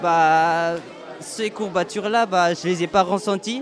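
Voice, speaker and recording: Very slow speech in a Malagasy accent, with ordinary pitch variation and music in the background. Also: man. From Madagascar. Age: young. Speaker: youth camp leader. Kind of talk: interview.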